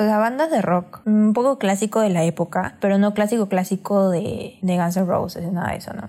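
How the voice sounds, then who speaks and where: The voice has a dark, mellow tone and ordinary pitch variation. It moves at a moderate pace with hardly any pauses. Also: woman, medium pitch for a woman. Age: 20s. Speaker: podcast co-host. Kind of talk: casual chat.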